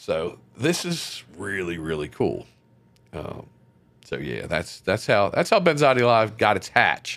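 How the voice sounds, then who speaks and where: A man with an American accent speaks fairly slowly at a fairly low pitch, with vocal fry and very wide pitch swings. The recording is very clean, with a silent background. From Maryland, US. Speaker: internet radio DJ. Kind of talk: interview. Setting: studio.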